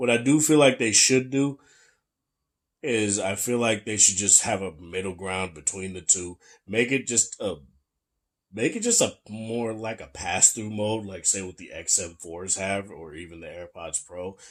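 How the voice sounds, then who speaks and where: A man talks at a moderate pace with big swings in loudness. The recording is very clean, with a silent background. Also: fairly low pitch for a man, ordinary pitch variation. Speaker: tech reviewer. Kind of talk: product review. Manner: casual.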